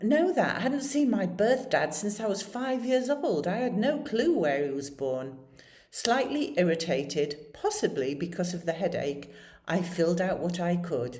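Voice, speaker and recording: Someone with a British accent talks at a moderate pace with very wide pitch swings, and audible room echo can be heard. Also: woman, medium pitch for a woman. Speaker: storyteller. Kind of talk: personal storytelling.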